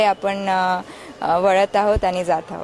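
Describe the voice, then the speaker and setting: This is a woman speaking at a medium pitch. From Maharashtra, Chhatrapati Sambhajinagar. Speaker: voter, youth election ambassador. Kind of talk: street interview. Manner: halting with fillers.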